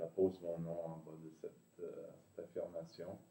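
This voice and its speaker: A man is speaking. His pace is very slow. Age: 60s. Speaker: meditation practitioner, former classical guitarist. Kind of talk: interview, personal story. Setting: video call. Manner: hesitant, many fillers.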